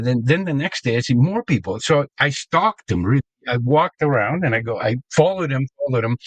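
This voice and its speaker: A man with a fairly high pitch, somewhat breathy and with lively intonation, in a dry, close sound with no echo and a quiet background. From Argentina, Buenos Aires suburb. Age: 70s. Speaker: sports pioneer and promoter. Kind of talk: interview storytelling. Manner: hesitant, many fillers.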